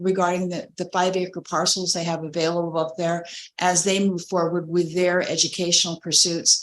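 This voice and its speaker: Here a woman talks at a moderate pace. Her voice sits at a medium pitch. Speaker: city mayor. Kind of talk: public meeting presentation. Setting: council chambers meeting. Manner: soft-spoken.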